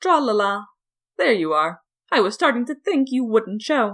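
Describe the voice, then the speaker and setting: A woman's put-on, sing-song character voice, fairly high in pitch at a moderate pace, on a very clean recording with a silent background. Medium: read story. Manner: singsong, cryptic.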